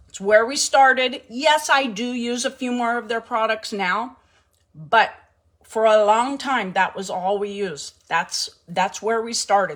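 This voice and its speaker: The voice is loud. Its pitch varies in an ordinary way. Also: woman. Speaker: home cooking livestream host. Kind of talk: casual livestream chat. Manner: animated.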